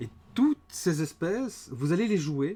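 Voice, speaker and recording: Dark and mellow in tone, this voice moves through very wide pitch swings. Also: man. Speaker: game designer and livestream host. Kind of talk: livestream presentation. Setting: live stream with chat.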